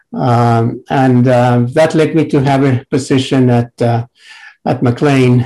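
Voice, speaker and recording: Very slowly, a man of medium pitch speaks in a monotone, flat delivery with a dark, mellow tone. His loudness stays very even. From Mexico. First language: Spanish. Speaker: psychiatrist and researcher. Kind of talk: panel presentation. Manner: halting, many fillers.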